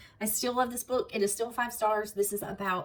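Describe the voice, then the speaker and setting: A fairly quick Southern US accent over noticeable background noise. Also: woman. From US South, South Alabama. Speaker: book vlogger. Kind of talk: casual chat.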